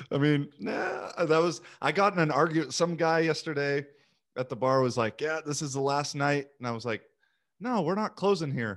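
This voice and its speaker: With ordinary pitch variation, a man of fairly high pitch speaks at a moderate pace against a quiet background. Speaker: podcast host. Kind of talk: casual interview. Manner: chatty, lots of questions.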